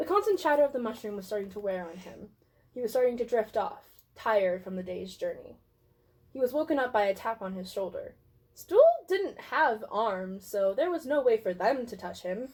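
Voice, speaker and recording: A woman with a normal speaking voice, fairly high-pitched, talks at a moderate pace with lively intonation and big swings in loudness. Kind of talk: dramatic reading of a fantasy story.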